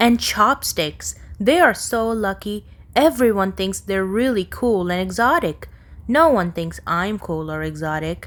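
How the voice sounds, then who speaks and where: A woman's put-on character voice, mumbling at medium pitch, with lively intonation and a fairly slow pace. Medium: read story. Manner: mumbling, sulky.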